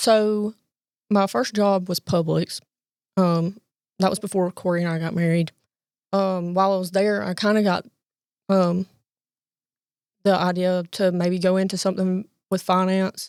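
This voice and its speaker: A woman speaks at a moderate pace and a medium pitch, her intonation monotone and flat, with long, frequent pauses. The recording is very clean with a silent background and a dry, close sound with no echo. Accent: Southern US. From Alabama, US. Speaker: bank loan processor. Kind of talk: interview answer. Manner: soft-spoken, calm.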